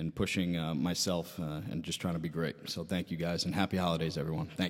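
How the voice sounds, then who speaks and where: A man with an American accent and a very deep, low pitch, speaking at a very fast pace in a monotone, flat intonation, on a very clean recording with a silent background. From Long Island, New York. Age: 30s. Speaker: strength and conditioning coach. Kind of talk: casual interview.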